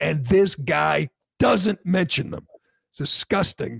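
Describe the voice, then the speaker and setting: A man talks at a fairly slow pace with vocal fry and very wide pitch swings. The sound is dry and close, with no echo. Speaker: podcast host. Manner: sarcastic, mocking; opinionated, fired-up.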